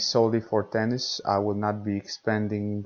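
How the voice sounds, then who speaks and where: A man's fairly low, monotone voice with flat intonation, in a Romanian accent, at a fairly slow pace. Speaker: podcast host, tennis coach. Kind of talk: podcast monologue. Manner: hesitant, many fillers.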